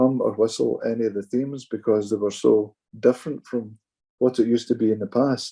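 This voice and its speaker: Speaking in a Glaswegian accent, a man with a dark, mellow tone talks at a fairly quick pace in a medium pitch with fairly even intonation. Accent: Glaswegian Scottish. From Scotland, Glasgow. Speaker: pipe band judge. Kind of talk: casual chat.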